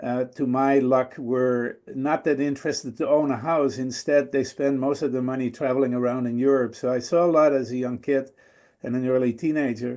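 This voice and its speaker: Speaking with a Dutch accent, a man has a medium pitch and a dark, mellow tone. His pace is moderate and his intonation fairly even, against a quiet background. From Netherlands. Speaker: guest speaker. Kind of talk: storytelling talk. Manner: hesitant with fillers.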